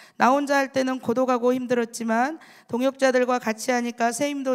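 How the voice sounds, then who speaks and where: Her voice is high-pitched as this woman speaks at a moderate pace. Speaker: church deaconess giving testimony. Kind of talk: testimony.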